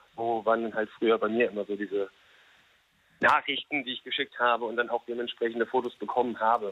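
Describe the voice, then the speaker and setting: A man's medium-pitched, very fast, monotone delivery with flat intonation. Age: 30s. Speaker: radio call-in listener. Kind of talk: casual phone chat.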